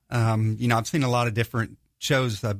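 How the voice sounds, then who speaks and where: An ordinary speaking voice from a man, medium in pitch with fairly even intonation, on a very clean recording with a silent background. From US South, northwest Georgia. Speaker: Bible study group leader. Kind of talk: casual chat.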